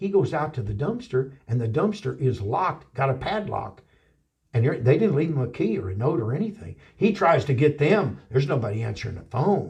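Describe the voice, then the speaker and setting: A man with an American accent speaks in an animated tone at a fairly high pitch and a fairly quick pace. His voice makes very wide pitch swings and shows vocal fry. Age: 60s. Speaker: pastor. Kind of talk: interview storytelling. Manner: halting.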